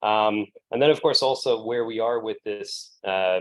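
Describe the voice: Here a man speaks with an American accent in a fairly low voice. His pace is moderate.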